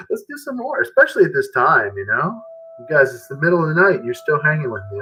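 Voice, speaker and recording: Over music in the background, a man speaks at a very fast pace. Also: big swings in loudness. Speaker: music teacher and guitarist. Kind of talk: live stream chat with demonstration. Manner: halting.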